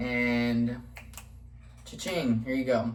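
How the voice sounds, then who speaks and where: There is audible room echo. A man speaks with an American accent. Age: 20s. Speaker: vlogger. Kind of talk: casual vlog monologue. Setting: home kitchen. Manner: casual, many fillers (um, like).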